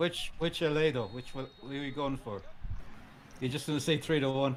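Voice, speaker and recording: With an Irish accent, a man speaks at a moderate pace in a fairly high voice with ordinary pitch variation. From Ireland. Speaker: sports stream co-commentator. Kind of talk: casual live match commentary.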